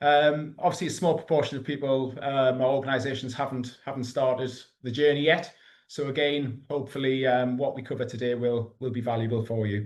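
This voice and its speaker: A man talks fairly quickly with a Geordie accent. His medium-pitched voice keeps a fairly even intonation. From northern England, Newcastle. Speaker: EV charging consultant. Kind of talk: webinar presentation. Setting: online webinar. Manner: hesitant, many fillers.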